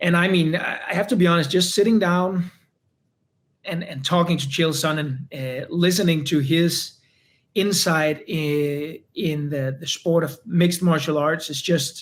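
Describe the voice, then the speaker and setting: Fairly slow, fairly even speech from a high-pitched man with a non-native accent. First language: not English. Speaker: UFC fighter. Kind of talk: interview. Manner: halting, many repeated words.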